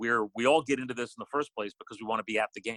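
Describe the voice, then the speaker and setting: A normal speaking voice, a man's, medium in pitch, at a fairly quick pace with ordinary pitch variation and a dry, close sound with no echo. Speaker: sports broadcaster, radio play-by-play announcer. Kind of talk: podcast interview answer.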